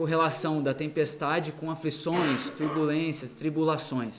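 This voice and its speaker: In a Brazilian accent, a man with a fairly high voice speaks amid noticeable background noise and audible room echo. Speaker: missionary preacher. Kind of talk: sermon. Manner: halting, many fillers.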